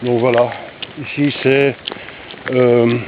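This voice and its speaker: A man's intonation stays monotone and flat, with noticeable background noise behind him. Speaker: vlogger, hiker. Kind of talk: walking vlog narration. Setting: outdoors, walking in countryside. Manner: casual, hesitant.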